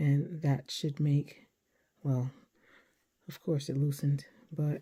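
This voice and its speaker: A woman speaks very slowly at a very deep, low pitch, somewhat breathy, in a dark, mellow tone with monotone, flat intonation. The recording is very clean, with a silent background. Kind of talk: tutorial. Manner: careful, deliberate enunciation.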